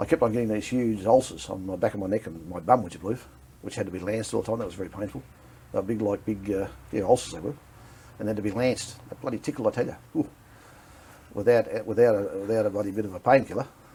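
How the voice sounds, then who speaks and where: Speaking at a very fast pace, a man uses a fairly low pitch with ordinary pitch variation and big swings in loudness. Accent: Australian. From Victoria, Australia. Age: 50s. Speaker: war veteran. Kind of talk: interview. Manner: halting.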